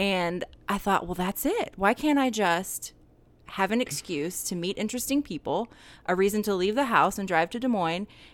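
On a very clean recording with a silent background, a woman with an American accent uses an ordinary speaking voice, lively intonation and a fairly quick pace. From Atlanta, US South. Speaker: podcast host. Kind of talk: casual interview chat; scripted outro. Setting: on location in a store.

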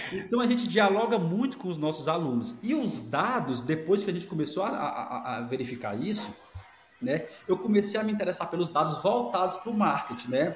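Amid noticeable background noise and audible room echo, a man speaks at a high pitch and a fairly quick pace with very wide pitch swings. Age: 40s. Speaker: academic director. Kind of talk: casual interview.

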